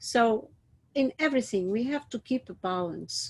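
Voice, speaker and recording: Her intonation is lively while she talks at a fairly slow pace, captured in a very clean recording with a silent background. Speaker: teacher. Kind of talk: lecture. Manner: hesitant with many fillers.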